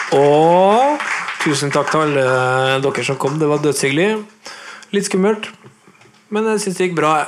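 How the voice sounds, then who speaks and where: A man with a Nordmøre accent talks at a fairly slow pace with a fairly high pitch, ordinary pitch variation and long, frequent pauses, amid noticeable background noise and audible room echo. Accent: Nordmøre Norwegian. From Nordmøre, Norway. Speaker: podcast host, guitarist. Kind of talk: live interview. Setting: record shop with live audience. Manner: talkative.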